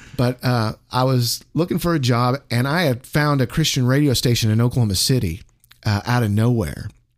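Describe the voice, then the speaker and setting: A man with an ordinary speaking voice, medium pitch, ordinary pitch variation, a moderate pace and very even loudness. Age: 50s. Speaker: radio disc jockey. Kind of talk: casual chat.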